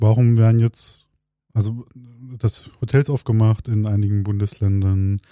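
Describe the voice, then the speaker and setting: Over a silent background in a very clean recording, a man speaks very slowly at medium pitch, his tone dark and mellow and his intonation fairly even. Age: 30s. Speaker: podcast co-host. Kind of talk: casual chat. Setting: studio.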